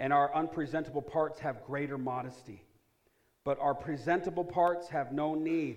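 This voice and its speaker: A man speaks at a moderate pace with an animated tone and a fairly high pitch. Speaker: preacher. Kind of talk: sermon, preacher in full flow. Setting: church with congregation. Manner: animated, call-and-response; exhorting, rhetorical questions.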